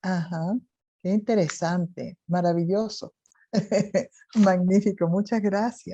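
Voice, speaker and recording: A woman speaks at a very slow pace with long, frequent pauses, her voice somewhat breathy. Her tone is dark and mellow, her pitch medium, and her intonation fairly even. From Chile. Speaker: interviewer. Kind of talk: interview conversation.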